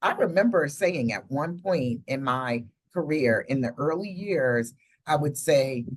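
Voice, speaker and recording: In an American accent, a woman speaks at a fairly slow pace. Her pitch is very deep and low, with lively intonation. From United States. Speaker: podcast host, professor. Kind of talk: podcast conversation.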